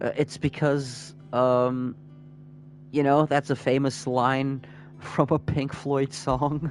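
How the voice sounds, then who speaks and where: A man speaks at a very slow pace with monotone, flat intonation and very even loudness. Music plays in the background. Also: medium pitch for a man. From Portugal. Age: 30s. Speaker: gaming streamer. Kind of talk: casual chat. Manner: halting.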